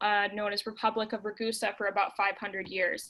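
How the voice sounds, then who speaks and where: With an American accent, a woman speaks in a fairly high, monotone, flat voice at a moderate pace, captured in a very clean recording with a silent background. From Minnesota, US Midwest. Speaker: local travel expert. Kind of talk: informational presentation.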